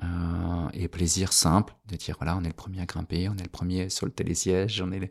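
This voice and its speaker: A man with a very deep, low pitch speaks at a fairly quick pace in a monotone, flat intonation on a very clean recording with a silent background. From France, Annecy. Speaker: artist and designer. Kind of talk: casual interview chat. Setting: artist's studio.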